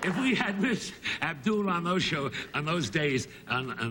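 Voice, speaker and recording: Very wide pitch swings from a man speaking at a fairly slow pace, with noticeable background noise. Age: 80s+. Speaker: comedian. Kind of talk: interview answer.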